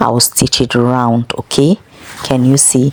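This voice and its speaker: With noticeable background noise but a dry, close sound and no echo, a woman speaks in a very deep, low voice at a fairly slow pace with fairly even intonation. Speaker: sewing instructor. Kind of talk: tutorial.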